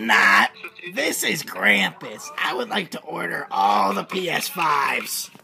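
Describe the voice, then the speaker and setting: A man puts on a character voice pitched high, talking at a fairly slow pace over faint background music. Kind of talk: prank call. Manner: gruff, menacing.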